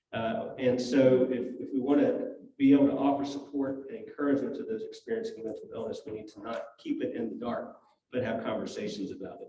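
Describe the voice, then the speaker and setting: The pace of this man's speech is fairly quick. The room around him adds audible echo. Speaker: hospital chaplain. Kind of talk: church talk / lecture. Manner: soft-spoken; halting.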